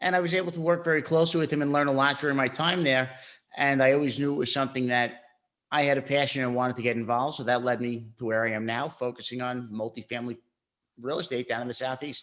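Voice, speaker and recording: A man with a New York accent speaks very fast at a medium pitch, his intonation fairly even, on a very clean recording with a silent background. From Brooklyn, New York. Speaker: real estate investor. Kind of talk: interview.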